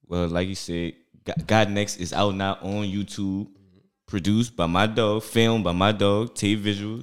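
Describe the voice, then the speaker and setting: A man with a New Orleans accent, fairly low in pitch, monotone and flat, at a moderate pace with big swings in loudness, on a very clean recording with a silent background. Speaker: stand-up comedian.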